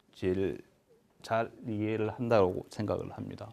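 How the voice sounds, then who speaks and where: Speaking fairly slowly, this man uses a medium pitch. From Busan, South Korea. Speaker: asset management executive, finance lecturer. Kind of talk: public lecture. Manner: hesitant, many fillers.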